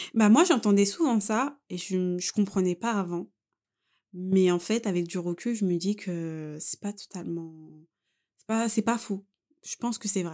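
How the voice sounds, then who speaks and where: On a very clean recording with a silent background, a woman at medium pitch speaks at a fairly slow pace with a dark, mellow tone, ordinary pitch variation and long, frequent pauses. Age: 20s. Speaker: person sharing a personal story. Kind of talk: personal testimony in casual chat.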